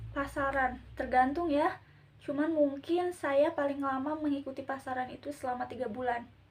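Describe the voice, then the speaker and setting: With fairly even intonation, a woman speaks at a moderate pace in a high-pitched voice. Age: 20s. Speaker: Islamic boarding school student. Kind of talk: casual interview.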